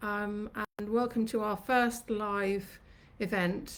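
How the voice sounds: Audible room echo surrounds a woman speaking at a medium pitch.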